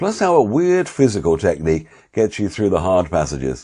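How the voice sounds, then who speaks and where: A man with a British accent talks at a moderate pace in a dark, mellow tone against a quiet background. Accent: RP British. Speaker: voice-over artist and course instructor. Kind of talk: course promo. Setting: home office.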